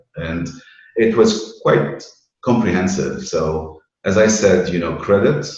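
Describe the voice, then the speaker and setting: In a room with audible echo, a man with a very deep, low, somewhat breathy voice speaks at a very slow pace with ordinary pitch variation. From Lebanon (Beirut). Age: 60s. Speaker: banking risk and credit professional. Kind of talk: interview.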